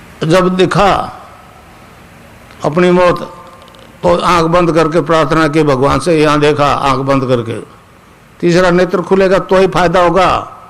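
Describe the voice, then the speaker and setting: In a room with audible echo and noticeable background noise, a man with a high pitch speaks at very even loudness and fairly even intonation, leaving long, frequent pauses. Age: 80s. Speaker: spiritual guru. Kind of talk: spiritual discourse. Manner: conversational, checking listeners with 'samjhe?'.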